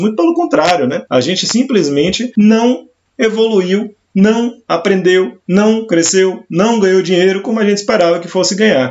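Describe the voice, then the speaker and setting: Lively intonation at a moderate pace. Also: man. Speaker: career coach and former education executive. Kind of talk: live stream talk. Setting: live stream.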